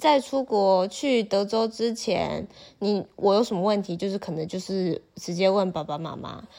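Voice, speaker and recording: In a very clean recording with a silent background, a woman speaks at a fairly slow pace in a dark, mellow tone at medium pitch with ordinary pitch variation. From Taiwan. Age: 20s. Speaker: university student, former exchange student. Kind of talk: casual interview chat.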